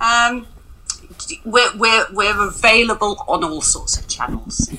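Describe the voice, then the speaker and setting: Her pitch is fairly high, and this woman talks at a fairly slow pace. Noticeable background noise runs underneath. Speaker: sex shop founder. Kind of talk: interview answers.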